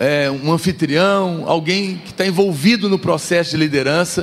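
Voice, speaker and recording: A man speaks very slowly, with noticeable background noise behind him. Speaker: pastor. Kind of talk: sermon. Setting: church. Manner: soft-spoken.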